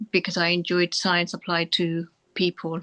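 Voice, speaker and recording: At a fairly quick pace, a woman with a fairly low pitch and a bright, sharp tone speaks in a monotone, flat intonation, the sound dry and close with no echo over a quiet background. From England, Birmingham (Sparkhill). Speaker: doctor. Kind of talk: interview. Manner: halting.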